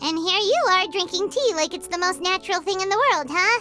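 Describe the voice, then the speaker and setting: In a put-on character voice, someone talks at a fairly quick clip with an extremely high, squeaky pitch while music plays clearly in the background. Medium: video game. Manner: chatty, expressive.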